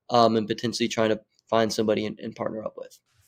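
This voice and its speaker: The recording of this man talking is very clean, with a silent background. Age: 20s. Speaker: social media marketing agency owner. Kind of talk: podcast interview. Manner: animated.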